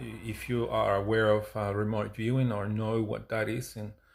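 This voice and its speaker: With fairly even intonation, a man's speech keeps a moderate pace. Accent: non-native. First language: not English. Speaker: UFO experiencer and musician. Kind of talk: personal talk to camera. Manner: halting, many fillers.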